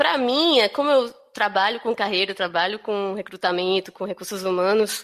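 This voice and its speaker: A woman speaks in a northeastern Brazilian accent. Her pitch is medium and her pace moderate. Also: ordinary pitch variation. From Brazil, Northeast, Recife (Pernambuco). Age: 30s. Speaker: career and HR consultant. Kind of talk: podcast interview. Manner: hesitant, many fillers.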